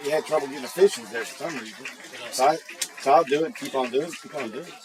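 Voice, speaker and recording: A man's fairly high voice with ordinary pitch variation, big swings in loudness and a very fast pace, amid noticeable background noise. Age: 60s. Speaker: sports commentator. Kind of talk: casual chat.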